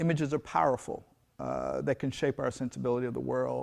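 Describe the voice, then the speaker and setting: Against a quiet background, the speaker talks at a fairly quick pace. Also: man. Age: 60s. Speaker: fine artist. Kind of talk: interview. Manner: halting.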